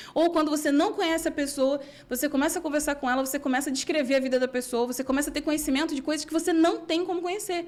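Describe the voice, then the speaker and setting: A woman talks at a very fast pace with hardly any pauses, in a high, animated voice. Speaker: Bible teacher. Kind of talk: Bible study.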